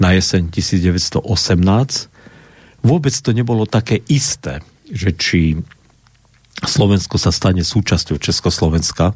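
Somewhat breathy, the voice moves at a fairly slow pace with lively intonation. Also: man. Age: old. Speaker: Lutheran pastor and historian. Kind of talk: radio discussion. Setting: radio studio.

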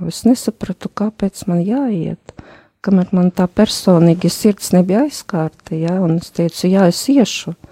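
The sound is dry and close with no echo. A woman speaks with a dark, mellow tone at medium pitch, with ordinary pitch variation and big swings in loudness. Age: 50s. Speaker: accountant and retreat participant. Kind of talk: personal testimony in interview. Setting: radio studio.

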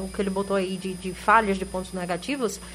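Noticeable noise fills the background. Over it, a woman speaks fairly quickly. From Sergipe, Brazil (Boquim). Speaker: sports panelist. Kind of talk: casual sports talk. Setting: radio studio.

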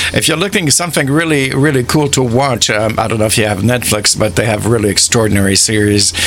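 A man speaks at a fairly quick pace in a warm, enthusiastic tone with ordinary pitch variation, with noticeable background noise behind him. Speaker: radio host. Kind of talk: relaxed radio DJ patter with song back-announcements and listener shout-outs. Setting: studio. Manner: chatty and rambling, heavy with uh fillers; warm, enthusiastic, laughs easily.

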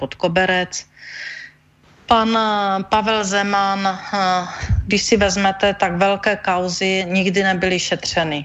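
A woman's medium-pitched voice, very slow and monotone with flat intonation. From Czech Silesia, near Ostrava. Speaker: energy manager, former regulator head. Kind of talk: radio interview.

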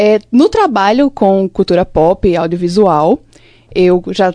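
A woman's dark, mellow tone carries lively intonation. The sound is dry and close with no echo. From Limoeiro, Pernambuco, Brazil. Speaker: communication student and short film director. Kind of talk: casual chat.

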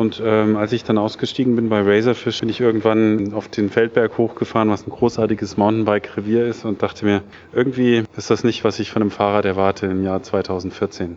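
Over noticeable background noise, a man talks at a fairly quick pace in a fairly low, monotone, flat voice, with hardly any pauses. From Germany, Taunus (Hesse). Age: 40s. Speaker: serial entrepreneur, startup founder. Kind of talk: interview at a meetup event. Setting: tech meetup event. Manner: many filler sounds (äh, ähm).

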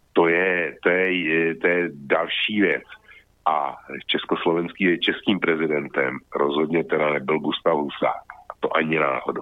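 Very deep and low in pitch, a man speaks at a fairly slow pace with fairly even intonation and very even loudness. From Czech Republic. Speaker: web portal founder and commentator. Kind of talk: casual discussion. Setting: Skype call.

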